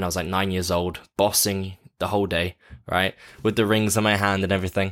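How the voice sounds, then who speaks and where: Speaking at a fairly quick pace in an English accent, the voice has a bright, sharp tone and monotone, flat intonation. The recording is very clean, with a silent background. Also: man. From London, England. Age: 20s. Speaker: actor and abuse survivor speaker. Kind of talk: interview testimony.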